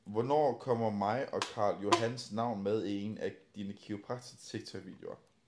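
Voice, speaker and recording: At a fairly slow pace, a man speaks in a medium pitch with fairly even intonation. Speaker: bodybuilding podcast host. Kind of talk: casual chat. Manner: loud, generally higher volume.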